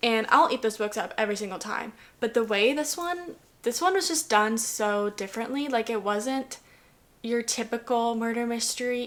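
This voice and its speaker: A woman speaks with a fairly high pitch. Her pitch variation is ordinary. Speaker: book reviewer vlogger. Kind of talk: casual book review monologue. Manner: fast; animated.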